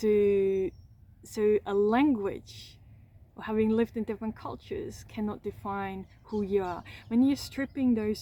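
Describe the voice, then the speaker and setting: She takes a fairly slow pace. Her speech comes with a non-native accent. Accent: foreign accent in English. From Austria. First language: German (Austrian). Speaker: trauma coach, content creator. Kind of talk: personal reflective monologue to camera. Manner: halting, many repetitions and fillers.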